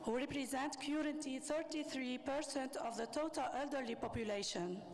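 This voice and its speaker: A speaker with a French accent talks at a moderate pace with ordinary pitch variation and very even loudness. The recording has audible room echo and noticeable background noise. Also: woman, high pitch for a woman. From Tunisia. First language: Arabic. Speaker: government official. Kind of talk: conference speech. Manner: formal.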